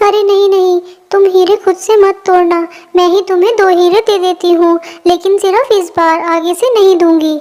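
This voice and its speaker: A cartoonish character voice at a moderate pace. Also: female-sounding voice, extremely high pitch for a woman. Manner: gentle, kind.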